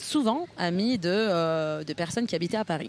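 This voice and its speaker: A woman talks at a moderate pace with a fairly low pitch. Her pitch variation is ordinary. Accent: Italian. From northern Italy, near Milan. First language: Italian (speaking French). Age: 30s. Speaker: political party co-president. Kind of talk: interview. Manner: hesitant, many fillers.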